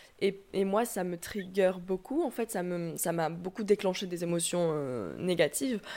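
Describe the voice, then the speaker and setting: A woman's medium-pitched voice, dark and mellow, at a fairly slow pace with hardly any pauses and ordinary pitch variation, on a very clean recording with a silent background. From southwestern France. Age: 20s. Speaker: YouTuber on self-acceptance. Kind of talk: interview conversation.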